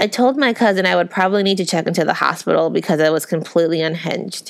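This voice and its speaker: The pitch varies in an ordinary way as the speaker, in a plain, everyday voice, talks at a fairly quick clip. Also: woman. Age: 30s. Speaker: podcast host. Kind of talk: reading aloud.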